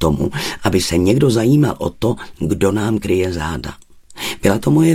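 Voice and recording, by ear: The intonation rises and falls in a lively way. A person reads aloud in a natural voice.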